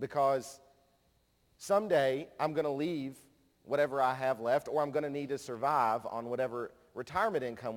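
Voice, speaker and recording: A man speaks at a moderate pace with a slight Kentucky accent. His pitch is fairly high. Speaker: conference speaker, nonprofit director. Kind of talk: conference plenary talk. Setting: stage with audience.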